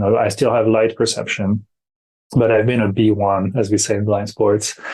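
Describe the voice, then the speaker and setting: In a French accent, a man speaks at a moderate pace with a fairly low pitch, a dark, mellow tone and monotone, flat intonation. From France, Brittany. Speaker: para-athlete. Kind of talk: interview.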